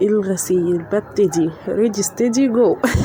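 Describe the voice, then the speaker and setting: Her voice is fairly high, with lively intonation. Noticeable background noise sits behind this woman. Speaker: home routine vlogger, mother. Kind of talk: casual voiceover narration.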